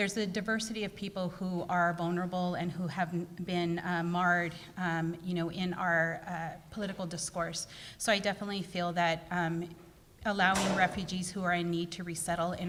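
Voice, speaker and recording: Over noticeable background noise, a woman with a fairly low pitch talks fairly quickly in a flat, monotone way. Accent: American. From Fresno, California. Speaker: city council candidate. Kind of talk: candidate forum answers. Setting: public forum with audience. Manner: hesitant, fillers.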